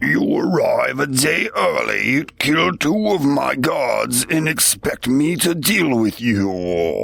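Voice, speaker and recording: Using a booming, put-on character voice, a man speaks at a very slow pace with hardly any pauses. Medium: read story.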